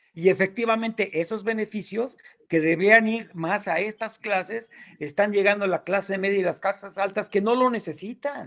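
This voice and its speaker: Against a quiet background, a man with a high voice speaks at a moderate pace with fairly even intonation. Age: 60s. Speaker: chemical engineer, debater. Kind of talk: debate.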